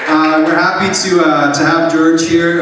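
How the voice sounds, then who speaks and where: A man speaks with crowd noise behind him. The room echo is strong. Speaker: event host. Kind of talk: stage announcement. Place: cafe. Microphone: pa.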